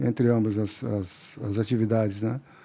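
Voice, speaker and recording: The background is silent and the recording very clean. A man talks in a dark, mellow tone. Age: 60s. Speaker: company president. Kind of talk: podcast interview.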